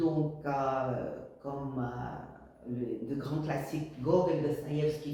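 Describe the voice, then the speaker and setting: Speaking at a very slow pace, a woman with a very deep, low voice and ordinary pitch variation is heard with audible room echo. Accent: Russian. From Russia, southern Urals. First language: Russian (speaking French). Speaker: language teacher. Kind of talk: course presentation. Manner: hesitant, many fillers.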